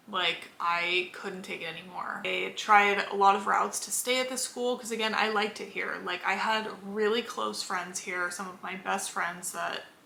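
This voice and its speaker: With an American accent, a woman talks at a moderate pace and medium pitch with ordinary pitch variation and big swings in loudness, amid noticeable background noise and audible room echo. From Los Angeles, Southern California. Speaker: vlogger, former college swimmer. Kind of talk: casual chat. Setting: in bed at home. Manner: casual, filler-heavy.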